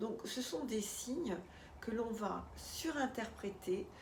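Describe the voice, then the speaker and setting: Amid noticeable background noise and audible room echo, a woman speaks very slowly at a fairly high pitch with ordinary pitch variation. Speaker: life coach. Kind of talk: talk to camera with guided EFT tapping. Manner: hesitant, many filler sounds.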